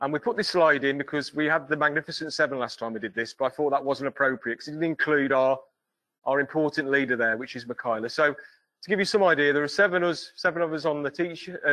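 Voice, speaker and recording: Over a quiet background, a man with a bright, sharp tone talks at a very fast pace with ordinary pitch variation. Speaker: foundry tutor. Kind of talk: presentation. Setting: stage with audience. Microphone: video call.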